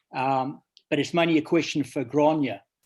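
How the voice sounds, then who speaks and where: Here a man speaks in a New Zealand accent. His intonation is monotone and flat. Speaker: webinar attendee. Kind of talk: audience question.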